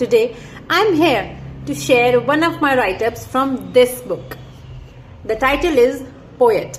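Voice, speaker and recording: Amid noticeable background noise, a woman with a high pitch and lively intonation talks at a fairly slow pace, leaving long, frequent pauses. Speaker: author. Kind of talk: self-promotion and poetry reading.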